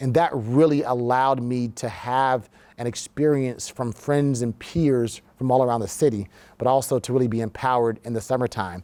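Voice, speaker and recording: A man with an American accent, medium pitch, ordinary pitch variation and a dark, mellow tone, on a very clean recording with a silent background. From US South (Orlando, Florida). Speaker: war veteran and business leader. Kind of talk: interview. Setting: studio.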